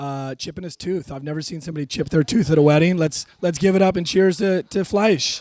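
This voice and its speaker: Talking at a fairly quick pace with hardly any pauses, a man uses a high voice with ordinary pitch variation. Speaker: best man. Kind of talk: wedding speech. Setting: wedding reception.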